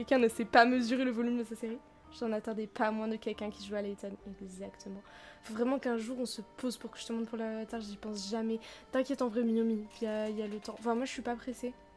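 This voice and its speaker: Over music in the background, a woman speaks at a very fast pace with a fairly high pitch, monotone, flat intonation and big swings in loudness. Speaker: streamer. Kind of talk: let's play live stream.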